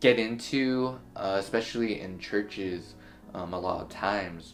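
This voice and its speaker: Music plays in the background as a man speaks at a fairly slow pace. His pitch sits in the medium range and varies in an ordinary way. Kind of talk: casual vlog talk to camera.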